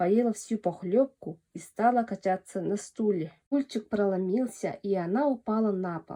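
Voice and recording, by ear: Ordinary pitch variation in a natural voice reading aloud, over a quiet background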